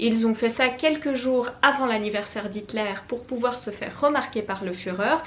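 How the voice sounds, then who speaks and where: With a Swiss accent, the voice moves at a moderate pace with hardly any pauses and ordinary pitch variation, over noticeable background noise. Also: woman, fairly high pitch for a woman. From Switzerland (French-speaking). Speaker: booktuber. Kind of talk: book review vlog.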